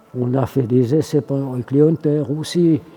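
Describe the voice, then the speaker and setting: Amid noticeable background noise, a man with a fairly high pitch speaks at a very slow pace. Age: 80s+. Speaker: military aircraft armourer, veteran of the Swiss army. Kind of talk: interview answer.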